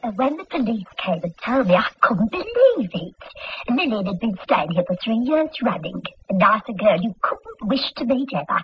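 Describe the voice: A woman puts on a character voice, fairly high for her, with big pitch swings and a husky, rough edge. She keeps a moderate pace with few pauses.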